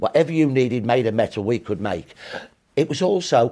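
A man with a Brummie accent talks at a fairly quick pace and medium pitch with lively intonation. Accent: Brummie (Birmingham) English. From Birmingham, England. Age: 60s. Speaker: historian. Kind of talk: interview.

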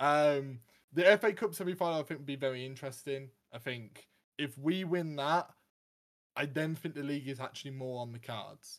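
Using a plain, everyday voice, a man with a fairly high pitch talks at a fairly quick pace with ordinary pitch variation and big swings in loudness. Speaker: co-host, football fan. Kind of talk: casual chat, podcast.

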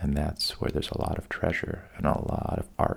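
A man with a calm tone. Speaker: sleep podcast host, storyteller. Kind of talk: bedtime storytelling. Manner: deliberately boring, monotone; slow, calm.

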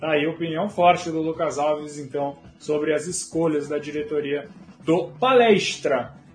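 Fairly slow, fairly high-pitched speech from a man, with ordinary pitch variation. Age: 20s. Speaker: football livestream host. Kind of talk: casual livestream chat. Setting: home office livestream.

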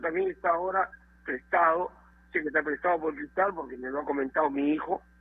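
A man speaks at a fairly quick pace. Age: 60s. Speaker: football coach. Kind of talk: interview.

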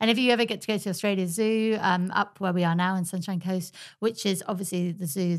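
A woman with a fairly low pitch talks at a fairly quick pace in an English accent. The recording is very clean, with a silent background. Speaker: podcast host. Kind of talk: casual chat. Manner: animated.

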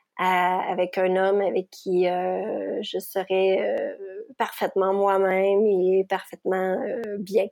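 A woman speaks with a Quebec accent. Her delivery is very slow and monotone, with flat intonation. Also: medium pitch for a woman. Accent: Québécois French. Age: 40s. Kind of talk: personal testimony interview. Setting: remote recording. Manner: hesitant with many fillers.

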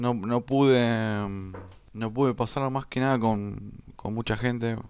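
The background stays quiet. A man talks in a medium pitch, his pitch varying in an ordinary way. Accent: Rioplatense. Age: 20s. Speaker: podcaster. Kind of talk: casual monologue. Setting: at home. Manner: halting.

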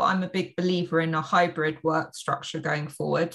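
A woman with a London accent speaks in a bright, sharp tone. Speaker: business coach and entrepreneur. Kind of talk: interview.

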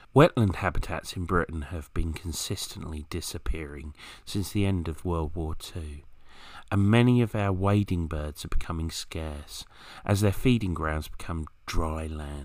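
A man with a southern English accent speaks at a very deep, low pitch with ordinary pitch variation. The recording is very clean, with a silent background. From southern England, Kent. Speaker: wild bird expert. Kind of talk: scripted narration.

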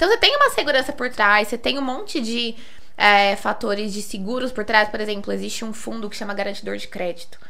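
With audible room echo and noticeable background noise, a woman talks at a fairly quick pace in a fairly high pitch with ordinary pitch variation. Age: 20s. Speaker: financial investment advisor. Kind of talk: casual chat.

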